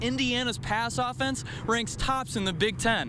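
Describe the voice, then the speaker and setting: The voice is raised and projected, with very wide swings in pitch. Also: man. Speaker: sports anchor and reporter. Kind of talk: sports reporting montage.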